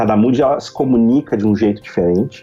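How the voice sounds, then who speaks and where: Speaking in a plain, everyday voice, a man keeps a moderate pace and ordinary pitch variation. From southern Brazil, Rio Grande do Sul (Novo Hamburgo). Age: 30s. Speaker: reputation consultant. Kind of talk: podcast interview.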